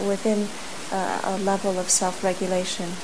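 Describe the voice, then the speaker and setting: Over noticeable background noise, a woman talks in a calm, gentle tone with monotone, flat intonation. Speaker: meditation teacher. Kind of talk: guided meditation. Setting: group retreat hall, in-person sitting. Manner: slow, calm, soft-spoken; gentle, unhurried, with long pauses.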